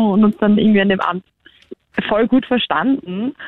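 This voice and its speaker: The speaker has a plain, everyday voice with ordinary pitch variation. The pace is moderate. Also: woman. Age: 20s. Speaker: guest telling a dating story. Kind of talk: storytelling.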